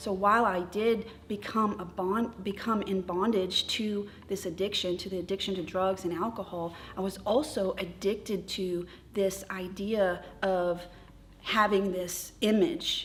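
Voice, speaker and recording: With an ordinary speaking voice, a woman talks at medium pitch with fairly even intonation. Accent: American. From Texas and North Dakota, military family. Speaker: recovery group leader. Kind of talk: testimony.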